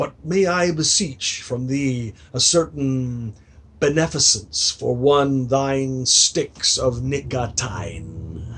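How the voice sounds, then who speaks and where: Putting on a gravelly character voice, a man speaks at a very slow pace and medium pitch with ordinary pitch variation. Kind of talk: archaic, courtly.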